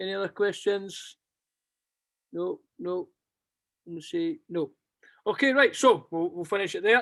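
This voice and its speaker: A strong Scottish accent at a fairly slow pace, broken by long, frequent pauses. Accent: thick Scottish. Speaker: basketball club coach. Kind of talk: closing remarks; interview. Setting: video call.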